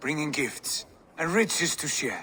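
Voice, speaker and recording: Over clear background noise, a man puts on a raspy character voice, fairly high in pitch, at a moderate pace. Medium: short film. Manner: boisterous, hearty.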